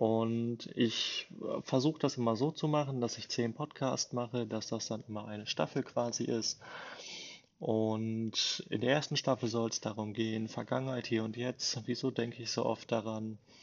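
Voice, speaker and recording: With an ordinary speaking voice, a man talks at a moderate pace in a medium pitch and fairly even intonation. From Germany, Bielefeld (East Westphalia). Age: 20s. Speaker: podcaster, salesperson. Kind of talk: casual monologue.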